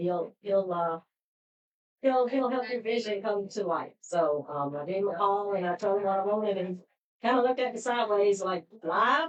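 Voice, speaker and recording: Medium-pitched woman's voice in a Pittsburgh accent, ordinary pitch variation, moderate pace. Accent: Pittsburgh twang. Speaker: podcast host. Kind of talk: live podcast sign-off.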